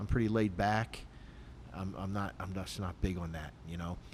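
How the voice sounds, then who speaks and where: Vocal fry runs through this moderately paced speech in an American accent. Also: man. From Philadelphia, Pennsylvania. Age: 60s. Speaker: retired police sergeant and martial arts instructor. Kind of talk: casual podcast chat.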